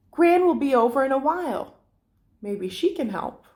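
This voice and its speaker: In a put-on character voice, a woman speaks at a high pitch and a moderate pace on a very clean recording with a silent background. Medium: read story. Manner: sensible, dry.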